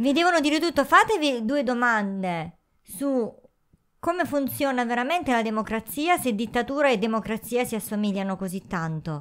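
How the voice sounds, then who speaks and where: A woman speaks at a high pitch and a moderate pace. Her pitch swings very widely against a quiet background. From southern Italy. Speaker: YouTuber. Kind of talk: casual chat. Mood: ironic, defiant. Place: home room. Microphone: handheld.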